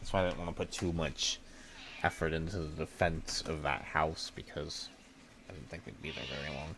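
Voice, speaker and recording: At a moderate pace, a man speaks with a very deep, low pitch and vocal fry. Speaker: gaming streamer. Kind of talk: live gameplay stream chat. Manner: casual, rambling; loud.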